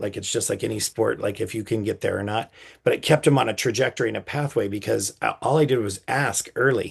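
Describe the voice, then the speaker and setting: A man talks at a fairly quick pace in an animated tone, with vocal fry and a medium pitch. The background is quiet. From California, Napa Valley. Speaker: podcast host, bereaved father. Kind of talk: casual interview conversation. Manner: animated, with many repetitions and fillers.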